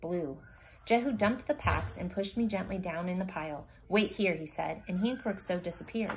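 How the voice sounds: The reading voice is natural. Nothing about it sounds put on.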